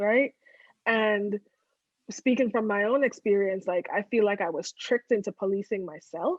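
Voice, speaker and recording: Moderate pacing and ordinary pitch variation from a woman speaking at medium pitch. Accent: American. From outside the US. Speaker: podcast co-host. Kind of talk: casual chat.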